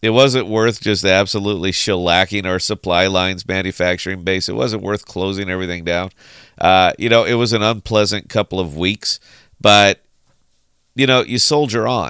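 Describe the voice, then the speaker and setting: Over a silent background in a very clean recording, a man with a fairly low pitch and a bright, sharp tone speaks at a moderate pace with ordinary pitch variation. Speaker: crypto commentator. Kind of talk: casual monologue. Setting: podcast style recording. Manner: sarcastic.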